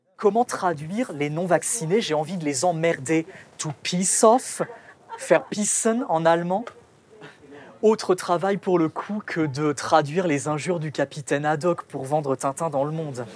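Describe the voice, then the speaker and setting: At a fairly slow pace, a man speaks with a fairly high pitch. Noticeable background noise is present. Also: ordinary pitch variation. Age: 30s. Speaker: translator. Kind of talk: casual interview.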